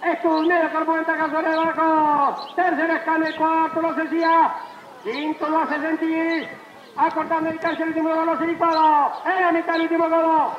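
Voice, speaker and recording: A man's extremely high, monotone voice at a fairly slow pace, with audible room echo and light background noise. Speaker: horse race caller. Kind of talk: live horse race commentary. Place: stadium.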